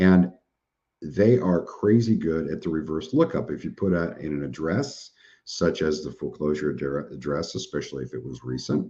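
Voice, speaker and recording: Very deep and low, this man's voice has vocal fry and a dark, mellow tone. He speaks at a moderate pace with ordinary pitch variation over a quiet background. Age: 50s. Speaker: webinar presenter, surplus funds business owner. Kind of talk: live webinar training and Q&A. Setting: live online webinar with chat. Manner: casual, conversational.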